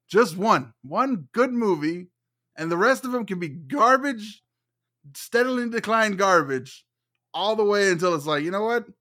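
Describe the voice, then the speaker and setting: In a very clean recording with a silent background, a man with a high-pitched voice and a bright, sharp tone projects his voice loudly, speaking at a moderate pace with lively intonation. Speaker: movie podcaster. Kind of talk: casual chat.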